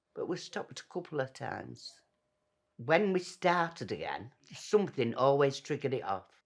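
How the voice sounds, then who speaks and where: The speaker has a Yorkshire accent. The pace is moderate. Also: very clean recording, silent background. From northern England, Doncaster, Yorkshire. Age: 70s. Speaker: former smoker. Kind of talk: testimony.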